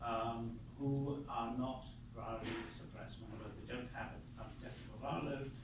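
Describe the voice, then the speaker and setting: A man speaks with an English accent at a moderate pace. Audible room echo can be heard. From England. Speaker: panelist, HIV advocate. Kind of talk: panel discussion. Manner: halting.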